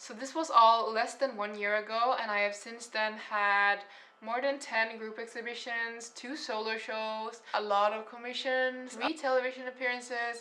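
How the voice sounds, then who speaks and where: Moderate pace with hardly any pauses, a strong non-native accent, fairly even intonation and big swings in loudness, over noticeable background noise. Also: woman, fairly high pitch for a woman. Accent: heavy foreign accent (own remark). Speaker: artist and painter. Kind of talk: casual story time vlog.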